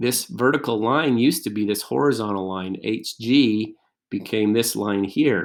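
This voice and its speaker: An unremarkable speaking voice at a fairly slow pace against a quiet background. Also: man. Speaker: math teacher. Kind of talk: tutorial.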